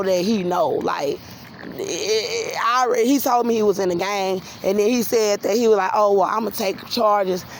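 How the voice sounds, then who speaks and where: A woman with a medium-pitched voice talks at a fairly quick pace and with fairly even intonation over noticeable background noise. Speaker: vlogger. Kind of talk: walking vlog monologue. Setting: outdoors at night walking on street. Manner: loud.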